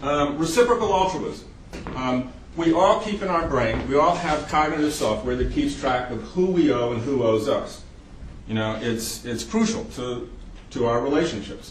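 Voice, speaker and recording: Over noticeable background noise and audible room echo, a man with an American accent speaks with very wide pitch swings. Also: fairly high pitch for a man, moderate pace. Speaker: psychiatrist lecturer. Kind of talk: lecture.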